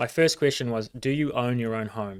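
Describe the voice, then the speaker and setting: A man talks at a fairly quick pace. He speaks with a New Zealand accent. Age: 30s. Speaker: financial services CEO. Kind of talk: casual interview chat. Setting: livestreamed studio show.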